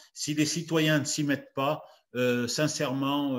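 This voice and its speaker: A man talks at a very slow pace. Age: 70s. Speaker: retired farmer and speaker. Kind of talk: talk and Q&A. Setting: video call. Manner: halting, many fillers.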